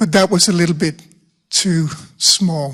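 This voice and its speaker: A man speaks with a Danish accent and ordinary pitch variation, recorded very cleanly against a silent background. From Denmark. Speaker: rhetoric professor. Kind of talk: panel discussion. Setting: conference room with audience.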